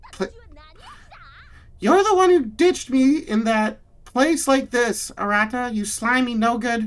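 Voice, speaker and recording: A female-sounding voice uses a put-on character voice pitched high. It moves at a fairly slow pace with long, frequent pauses. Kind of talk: exaggerated put-on voice. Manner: insulting, scolding.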